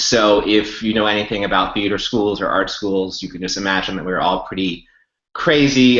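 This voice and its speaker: A man with an American accent, fairly low pitch and fairly even intonation, with audible room echo. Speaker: yoga teacher. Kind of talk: webinar talk.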